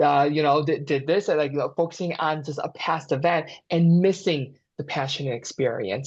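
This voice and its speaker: A man with a fairly high pitch speaks in a somewhat breathy voice against a quiet background. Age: young. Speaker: mental health therapist. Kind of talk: casual chat. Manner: halting, repeats words.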